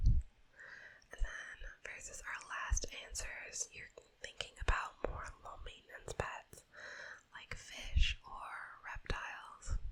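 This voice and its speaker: Whispering in a gentle tone, very slow, with big swings in loudness and noticeable background noise. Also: woman. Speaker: ASMR creator. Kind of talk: ASMR pet-shop roleplay, advice talk. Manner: whispered, soft-spoken, gentle.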